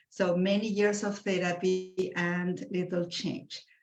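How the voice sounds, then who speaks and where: In a Spanish accent, a woman speaks at a fairly slow pace with a medium pitch. Her voice is somewhat breathy. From Argentina, Buenos Aires. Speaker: clinical psychologist. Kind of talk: interview.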